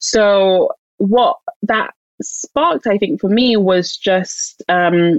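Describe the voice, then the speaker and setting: This woman speaks with a London accent at a medium pitch, her intonation lively and the sound dry and close with no echo. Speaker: author and publisher. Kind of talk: interview.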